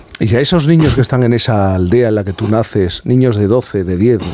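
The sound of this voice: Against faint background noise, a man with a fairly low pitch and a slightly mellow tone speaks at a fairly quick pace with ordinary pitch variation.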